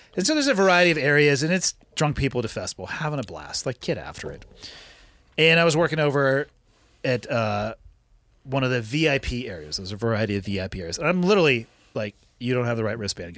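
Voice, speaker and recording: Talking very fast with an American accent, a man at medium pitch makes very wide pitch swings. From California. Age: 40s. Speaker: podcast host and special operations veteran. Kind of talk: casual chat. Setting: studio. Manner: profane, blunt.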